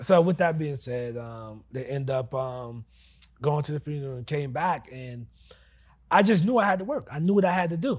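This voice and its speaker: A somewhat breathy voice with an American accent, moderate pace and lively intonation, with big swings in loudness in a very clean recording with a silent background. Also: man, fairly high pitch for a man. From US Northeast, New Jersey. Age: 30s. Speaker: real estate investor. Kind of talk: casual interview. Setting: studio.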